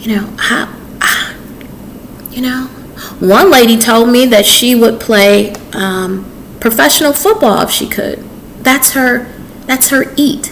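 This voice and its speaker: A woman talks at a very slow pace, her high pitch broken by long, frequent pauses. Audible room echo and noticeable background noise surround her. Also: ordinary pitch variation. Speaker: author, chef and dating advice vlogger. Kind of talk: casual advice monologue to camera. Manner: calm, peaceful.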